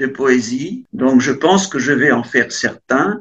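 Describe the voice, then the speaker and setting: Very slowly, a man gets his words out. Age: 70s. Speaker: poet. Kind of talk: interview. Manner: hesitant, with many fillers.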